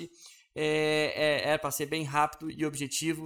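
A man's fairly high-pitched voice. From Brazil, Belo Horizonte. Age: 30s. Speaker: podcast host. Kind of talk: casual monologue. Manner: hesitant with fillers.

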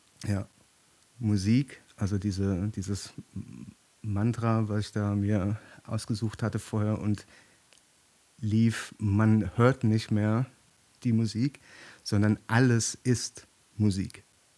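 The delivery is a flat monotone at a very slow pace, broken by long, frequent pauses. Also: man, fairly low pitch for a man. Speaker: author. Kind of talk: casual chat.

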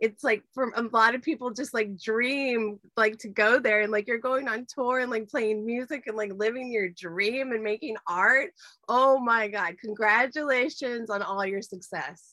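An enthusiastic woman speaks at a fairly slow pace with hardly any pauses. Her tone is bright and sharp, with a fairly high pitch and ordinary pitch variation. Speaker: livestream show host. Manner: enthusiastic, effusive.

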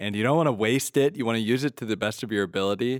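A man with a normal speaking voice talks at medium pitch with lively intonation, in a very clean recording with a silent background and a dry, close sound with no echo. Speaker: priest and podcast host. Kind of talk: interview podcast.

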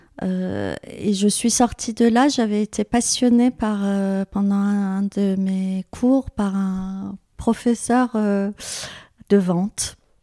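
Very slow speech from a woman with a dark, mellow tone, fairly even intonation and hardly any pauses, on a very clean recording with a silent background. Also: medium pitch for a woman, dry, close sound with no echo. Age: 50s. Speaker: business founder. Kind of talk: interview. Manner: hesitant, many fillers.

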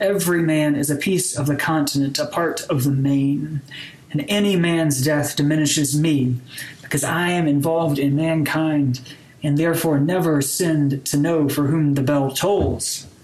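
Background noise is noticeable throughout. The delivery keeps a moderate pace. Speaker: podcast host, campus pastor. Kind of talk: casual banter podcast chat. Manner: joking, animated.

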